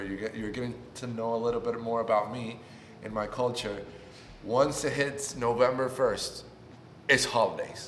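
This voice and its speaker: In a room with audible echo, a man with a Spanish accent speaks at a moderate pace, medium in pitch, with fairly even intonation. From Puerto Rico. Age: 20s. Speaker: YouTuber. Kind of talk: casual vlog introduction.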